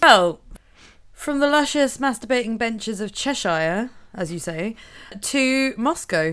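A woman in a Norfolk accent, fairly high-pitched with very wide pitch swings, at a fairly slow pace with long, frequent pauses, in a very clean recording with a silent background. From Norfolk, England. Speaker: podcast co-host. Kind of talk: casual chat. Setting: studio.

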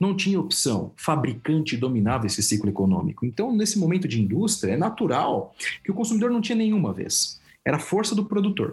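A high male voice at a fairly quick pace, with very wide pitch swings and very even loudness. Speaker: consultant and professor. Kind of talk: interview.

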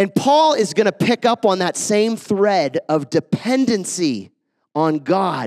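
A man's pitch swings very widely. The sound is dry and close, with no echo. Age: 40s. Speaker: guest preacher. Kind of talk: sermon. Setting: church.

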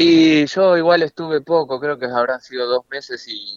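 The speaker is a man talking at a fairly slow pace. His pitch varies in an ordinary way. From Argentina, Buenos Aires area (Solano). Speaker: professional footballer. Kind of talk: radio interview. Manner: halting, repeats words.

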